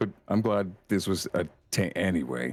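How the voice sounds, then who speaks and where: A man's put-on character voice, raspy and very deep, at a moderate pace. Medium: actual play. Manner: earnest, halting, apologetic.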